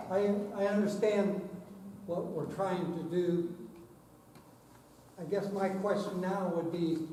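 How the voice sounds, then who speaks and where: Speaking very slowly with long, frequent pauses, a man with a high pitch keeps a monotone, flat intonation amid noticeable background noise and audible room echo. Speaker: audience member, former school superintendent. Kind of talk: question at public meeting. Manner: loud, voice carries; halting.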